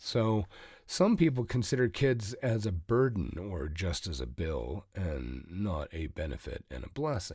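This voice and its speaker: Fairly low in pitch and somewhat breathy, a man speaks at a fairly slow pace with very wide pitch swings. The recording is very clean, with a silent background. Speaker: parenting podcaster and author. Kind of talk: podcast talk to camera.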